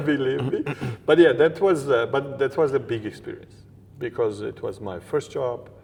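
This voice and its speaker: A man with a Georgian accent speaks at a moderate pace in a fairly high, somewhat breathy voice with ordinary pitch variation. His loudness swings widely. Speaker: interview guest. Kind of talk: interview conversation.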